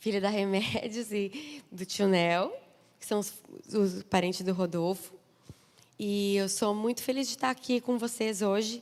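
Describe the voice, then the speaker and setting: In a southern Brazilian accent, a woman of medium pitch talks at a fairly slow pace with ordinary pitch variation and long, frequent pauses. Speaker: preacher. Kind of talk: sermon. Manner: animated.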